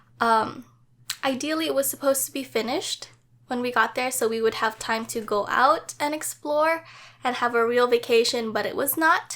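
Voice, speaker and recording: Her voice is high-pitched, and this woman talks at a moderate pace with ordinary pitch variation. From Hawaii, Maui. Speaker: travel vlogger. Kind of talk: vlog commentary. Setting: at home, late night. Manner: casual, stumbling over words.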